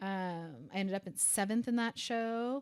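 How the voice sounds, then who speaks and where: Ordinary pitch variation from a woman, with a very clean recording and a silent background. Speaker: podcast co-host, bikini competitor. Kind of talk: casual chat. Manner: fast.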